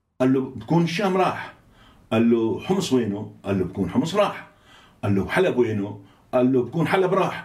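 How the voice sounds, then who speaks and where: With audible room echo, a man talks at a moderate pace, his pitch swinging very widely while his loudness stays very even. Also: medium pitch for a man. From Syria, Aleppo. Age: 70s. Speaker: Islamist politician and think tank director. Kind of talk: interview.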